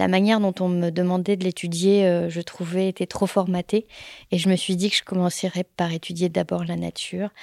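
Speaking at a moderate pace and a medium pitch, a woman sounds dry and close, with no echo. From France, Paris suburbs and Pyrénées-Orientales. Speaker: hydrologist. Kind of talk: interview testimony. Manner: hesitant, many fillers.

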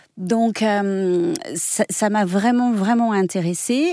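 Her tone is dark and mellow, with ordinary pitch variation. The woman is recorded very cleanly against a silent background. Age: 40s. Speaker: body method teacher and former dance teacher. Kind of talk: radio interview. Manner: halting.

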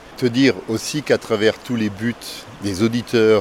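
This man's fairly low voice comes through noticeable background noise. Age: 60s. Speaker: listener. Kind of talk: recorded listener message.

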